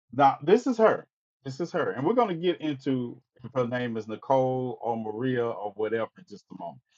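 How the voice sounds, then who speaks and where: With an American accent, a man talks at a fairly quick pace in a plain, everyday voice of medium pitch. His intonation is lively, with big swings in loudness. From Mississippi, US South. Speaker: online talk show host. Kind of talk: livestream commentary. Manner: casual.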